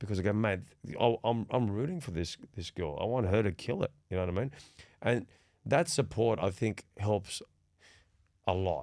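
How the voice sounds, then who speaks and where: In an Australian accent, a man speaks at a moderate pace with long, frequent pauses. His fairly low voice has lively intonation, and the recording is very clean with a silent background. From Sydney, Australia. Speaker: podcast host. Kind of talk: casual chat.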